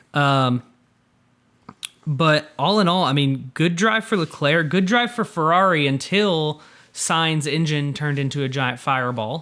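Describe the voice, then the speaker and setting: A man with an American accent and a fairly high pitch, an ordinary speaking voice, ordinary pitch variation and a fairly slow pace. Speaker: podcast co-host. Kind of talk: casual chat.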